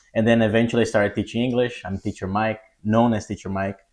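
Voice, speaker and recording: This man talks at a very fast pace with a Portuguese accent. His pitch sits in the medium range. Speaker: English test prep teacher. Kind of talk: podcast interview.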